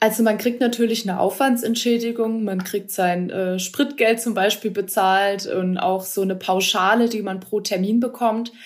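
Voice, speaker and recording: In an unremarkable speaking voice, a woman talks at a moderate pace with hardly any pauses, fairly high in pitch and with fairly even intonation. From Baden, Ortenau (southwest Germany). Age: 20s. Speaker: winemaker, former wine queen. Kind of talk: interview.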